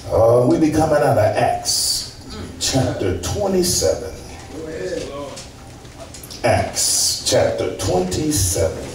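Over noticeable background noise and audible room echo, a man talks at a very slow pace with long, frequent pauses. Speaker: preacher. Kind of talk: sermon. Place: church. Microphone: camera far.

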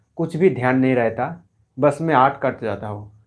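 A man talks, his pitch varying in an ordinary way. Behind him, all is quiet. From West Bengal, India. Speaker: art YouTuber, painter; art YouTuber. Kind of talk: live stream Q&A. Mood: cheerful, relaxed. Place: home room. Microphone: mic was faulty, may sound poor; lapel.

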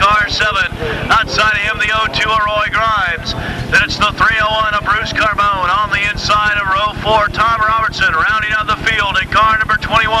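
A man projects a raised voice in a dry space with no echo, over noticeable background noise. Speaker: race announcer. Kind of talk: commentary. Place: stadium.

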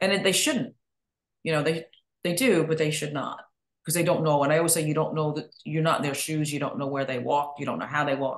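Against a quiet background with audible room echo, a woman with an American accent talks at a very fast pace. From northern US. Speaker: podcast host. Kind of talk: interview.

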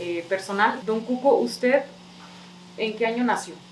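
Delivered at a moderate pace, the speech has audible room echo and light background noise. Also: woman. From Mexico, Jalisco (San Miguel el Alto). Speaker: local video interviewer. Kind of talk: interview; channel outro. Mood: friendly, relaxed. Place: home room. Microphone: camera far.

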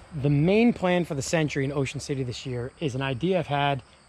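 A man's somewhat breathy voice shows ordinary pitch variation in a dry sound with no echo. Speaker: car builder vlogger. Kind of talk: casual vlog chat. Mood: excited about project. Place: open country. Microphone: phone near.

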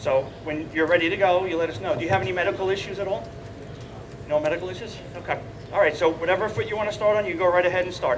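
A high-pitched man rattles along at a very fast pace amid noticeable background noise. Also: ordinary pitch variation. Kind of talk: instructional demonstration. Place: stage. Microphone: headset.

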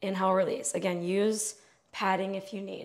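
Here a woman speaks at a moderate pace. Nothing disturbs the quiet behind her. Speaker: fitness instructor. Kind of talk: exercise class instruction. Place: home room.

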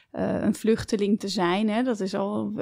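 On a very clean recording with a silent background, a woman speaks at a fairly slow pace. Her medium-pitched voice has a dark, mellow tone and fairly even intonation. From Netherlands, family fled from Belarus. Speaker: entrepreneur, company co-founder. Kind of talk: interview conversation. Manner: hesitant, many filler sounds.

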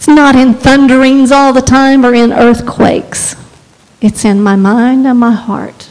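A woman with a high pitch and a warm tone talks at a fairly slow pace, her intonation fairly even. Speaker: preacher. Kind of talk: guided prayer in a sermon. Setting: church with congregation. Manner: earnest, fervent, exhorting; warm, lightly humorous. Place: church. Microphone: handheld.

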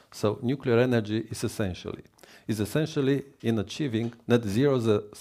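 A man's dark, mellow voice in a Romanian accent, medium in pitch with ordinary variation, at a moderate pace. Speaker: government minister. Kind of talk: formal speech. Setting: stage with audience at conference. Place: hall.

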